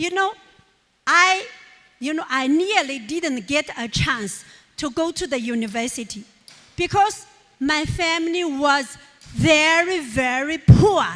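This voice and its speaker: A woman with a Chinese accent talks at a high pitch and a fairly slow pace. Her intonation is lively, broken by long, frequent pauses. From rural China. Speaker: businesswoman and motivational speaker. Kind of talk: motivational speech.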